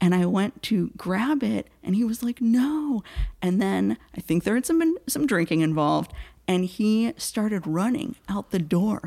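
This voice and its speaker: Somewhat breathy and dark, mellow in tone, a woman talks at a fairly slow pace with very wide pitch swings. Her loudness stays very even, and the sound is dry and close with no echo. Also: medium pitch for a woman. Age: 30s. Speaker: storyteller. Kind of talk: casual chat. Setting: studio.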